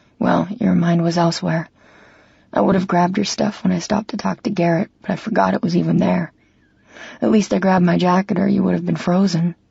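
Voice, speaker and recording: The speaker uses a put-on character voice at a middle pitch. It sounds strained and moves at a fairly quick pace. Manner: flat, strained, awkward.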